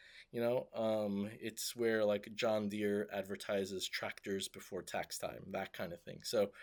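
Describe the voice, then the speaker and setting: With a fairly low pitch and monotone, flat intonation, a man speaks at a fairly slow pace with hardly any pauses in a very clean recording with a silent background. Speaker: tech startup founder. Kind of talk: casual video update. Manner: hesitant, many fillers.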